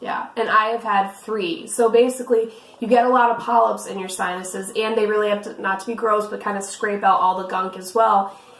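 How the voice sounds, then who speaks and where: Fairly quick, nearly pause-free speech with fairly even intonation over noticeable background noise. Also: woman, fairly high pitch for a woman. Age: young. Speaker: vlogger with cystic fibrosis. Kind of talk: casual chat.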